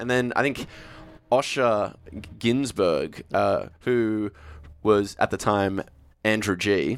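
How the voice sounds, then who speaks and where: Speaking very slowly with an Australian accent, a man uses ordinary pitch variation and takes long, frequent pauses. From Australia, Sydney northern beaches. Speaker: TV presenter. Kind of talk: casual chat.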